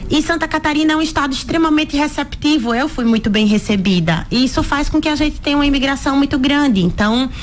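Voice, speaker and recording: Over noticeable background noise, a woman with an Alagoas accent speaks at a very fast pace with hardly any pauses, a high pitch, lively intonation and very even loudness. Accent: northeastern Brazilian (Alagoas), noticeable. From Alagoas, northeast Brazil. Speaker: physician. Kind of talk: radio interview.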